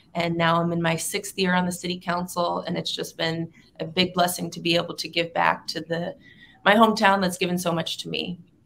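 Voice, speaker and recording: With an American accent and vocal fry, a woman with a fairly low pitch talks fairly quickly in a monotone, flat delivery over light background noise. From Southern California. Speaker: city councilwoman; local city council member. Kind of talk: interview. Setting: video call. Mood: warm, grateful.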